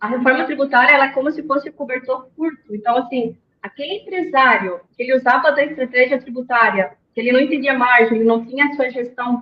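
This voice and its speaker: This woman has a high pitch with ordinary variation. She speaks at a very fast pace. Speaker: accountant, tax reform expert. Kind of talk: webinar presentation.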